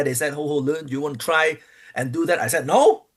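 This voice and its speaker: A non-native accent at a moderate pace. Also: man. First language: not English. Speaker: pro wrestler. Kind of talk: interview. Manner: halting.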